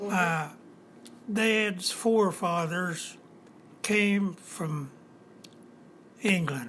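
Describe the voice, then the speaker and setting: A man with a high pitch speaks at a very slow pace, using ordinary pitch variation and long, frequent pauses. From eastern Kentucky, USA. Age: 90s. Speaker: retired auto factory worker. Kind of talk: interview answer.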